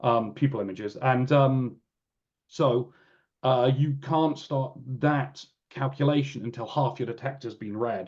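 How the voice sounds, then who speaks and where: A man's medium-pitched voice comes through somewhat breathy, his intonation staying fairly even. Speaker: real-time computing engineer presenting at a webinar. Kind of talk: technical webinar presentation. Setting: online webinar. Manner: halting, many fillers and restarts.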